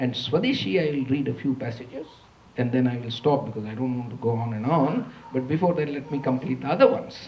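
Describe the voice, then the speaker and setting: Somewhat breathy and medium in pitch, a man speaks with audible room echo around him. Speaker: economist, university lecturer. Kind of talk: lecture. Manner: slow; quiet.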